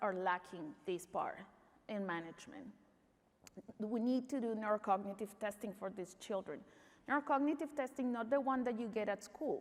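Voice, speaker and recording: This woman's voice, fairly high in pitch with ordinary variation, moves at a moderate pace. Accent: Spanish. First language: Spanish. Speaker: pediatric neuromuscular doctor. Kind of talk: conference talk.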